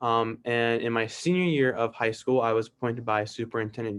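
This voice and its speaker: In a very clean recording with a silent background, a man with a normal speaking voice talks at a fairly quick pace, his pitch medium and intonation fairly even. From New York City, Queens. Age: young, 18. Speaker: city council candidate, college student. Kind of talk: interview, self-introduction. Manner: frequent fillers and restarts.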